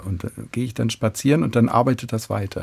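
A man's fairly low voice carries vocal fry and a dark, mellow tone. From Hannover, northern Germany. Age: 60s. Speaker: concert pianist. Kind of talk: radio interview.

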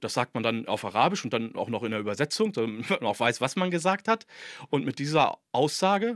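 At a fairly quick pace, a man speaks at a medium pitch with very wide pitch swings, in a very clean, dry, close recording with a silent background and no echo. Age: 40s. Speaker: doctoral student in Islamic theology. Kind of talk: interview.

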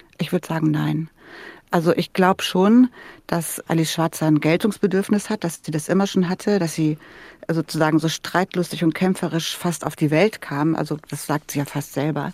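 A woman speaks in an ordinary speaking voice at a moderate pace. Her pitch is fairly low, with ordinary pitch variation. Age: 60s. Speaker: podcast host. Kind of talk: radio interview.

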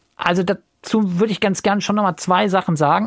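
A man with a high pitch speaks at a moderate pace, the sound dry and close with no echo. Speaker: radio podcast host. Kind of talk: casual discussion of listener feedback.

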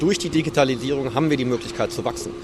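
Noticeable background noise is present. Through it, a man talks with ordinary pitch variation. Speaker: company co-owner. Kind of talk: interview. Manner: matter-of-fact.

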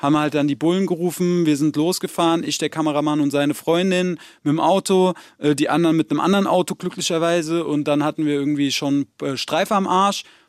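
At a fairly quick pace, a man with fairly high pitch speaks with fairly even intonation on a very clean recording with a silent background and a dry, close sound with no echo. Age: 30s. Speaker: rapper. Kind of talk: interview. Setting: studio.

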